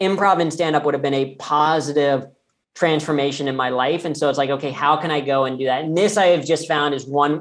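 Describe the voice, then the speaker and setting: Speaking with a Midwestern accent, a man uses a fairly high pitch and fairly even intonation at a fairly quick pace. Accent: General American (Midwest). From Ohio (Cincinnati), US Midwest. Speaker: comedian and keynote speaker. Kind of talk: podcast interview.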